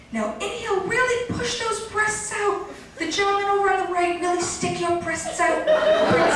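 Amid noticeable background noise and strong room echo, a woman speaks at an extremely high pitch with lively intonation. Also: moderate pace. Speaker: comedic actress. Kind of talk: yoga class parody narration, scripted comedy sketch. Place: stage. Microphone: camera far.

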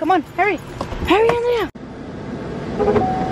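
A woman is heard in a dry recording with no echo. There is noticeable background noise. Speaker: vlogger mom. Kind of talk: casual vlog.

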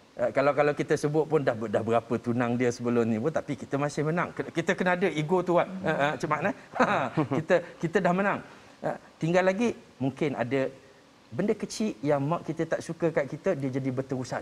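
Speaking at a very fast pace, a man with a fairly high voice uses lively intonation. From Malaysia. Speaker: marriage counsellor; talk show panelist. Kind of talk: panel discussion. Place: studio.

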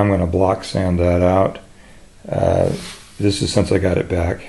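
Flat and monotone, a man's fairly low voice moves at a fairly slow pace. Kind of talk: tutorial. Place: workshop. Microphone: phone near.

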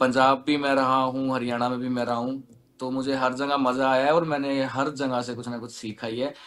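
A man's medium-pitched voice in a monotone, flat intonation with hardly any pauses. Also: moderate pace. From western Uttar Pradesh (Baghpat); Uttar Pradesh. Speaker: singer and music producer; interviewee. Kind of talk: interview. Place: studio. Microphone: video call.

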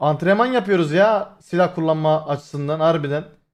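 A man talks at a fairly quick pace. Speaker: streamer. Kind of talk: casual live stream chat.

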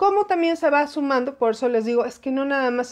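A woman's fairly quick speech with ordinary pitch variation against a quiet background. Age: 40s. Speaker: aviation commentator, former flight attendant; aviation commentator. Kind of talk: live-stream commentary. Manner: animated. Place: home room. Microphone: phone near.

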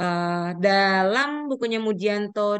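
A woman's voice, medium in pitch, with a clear, smooth tone.

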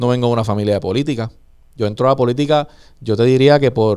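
Against a quiet background, a man's pitch rises and falls in an ordinary way. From Puerto Rico, Vega Alta. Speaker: gubernatorial candidate, politician. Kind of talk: interview. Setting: studio. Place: studio. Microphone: studio mic.

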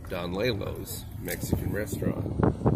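Fairly slow speech over loud background noise. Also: man. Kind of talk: commentary. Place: car. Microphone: phone near.

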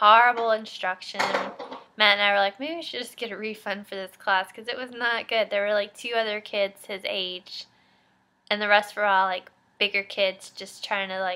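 With fairly even intonation, a woman talks at a moderate speed. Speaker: mom vlogger. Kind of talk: casual vlog chat. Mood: chatty, a bit exasperated. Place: home room. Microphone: webcam.

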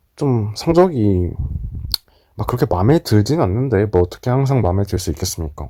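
The voice is somewhat breathy, with a dark, mellow tone. The recording is very clean, with a silent background. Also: man. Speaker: exam-retake student vlogger. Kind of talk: casual vlog talk to camera.

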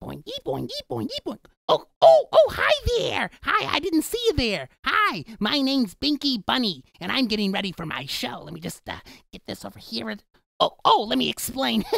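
Here a man uses a put-on character voice. His pace is moderate.

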